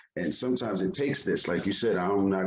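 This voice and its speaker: In a New York accent, a man speaks at a fairly quick pace with a fairly low pitch. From Yonkers, New York. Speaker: hip hop artist. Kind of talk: interview.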